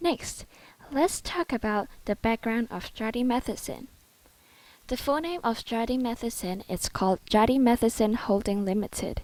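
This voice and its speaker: A woman with a Cantonese accent and a fairly high pitch speaks at a fairly slow pace with ordinary pitch variation on a very clean recording with a silent background. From Hong Kong. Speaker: student. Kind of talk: presentation. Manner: formal.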